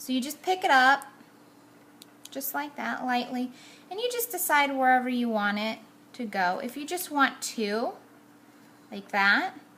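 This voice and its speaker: Using a raised, projected voice, a high-pitched woman speaks at a fairly slow pace with lively intonation and long, frequent pauses. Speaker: card-making crafter. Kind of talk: tutorial. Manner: casual, chatty.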